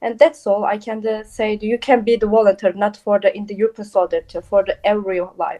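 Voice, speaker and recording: A woman speaks with a Turkish accent at a fairly high pitch. She hardly pauses, and her intonation stays fairly even. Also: fairly quick pace. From Turkey. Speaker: volunteer. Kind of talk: interview. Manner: halting, many fillers.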